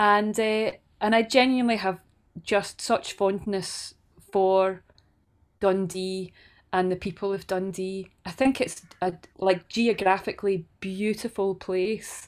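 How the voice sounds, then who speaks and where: A woman speaks in a Scottish accent at a fairly slow pace, her pitch medium and her intonation fairly even. The recording is very clean, with a silent background. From Scotland, Stirlingshire (Banknock). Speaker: folk singer-songwriter. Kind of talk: interview conversation.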